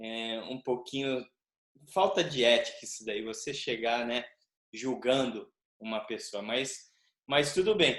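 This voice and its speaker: A man speaks at a fairly slow pace with medium pitch and ordinary pitch variation. His loudness swings widely, and he leaves long, frequent pauses. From Brazil. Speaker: capoeira teacher, interviewer. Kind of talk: interview.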